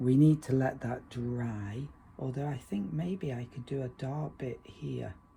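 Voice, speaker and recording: A relaxed, dark, mellow tone, somewhat breathy, at a very slow pace. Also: man. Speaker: watercolor painting teacher. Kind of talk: tutorial. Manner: relaxed, conversational.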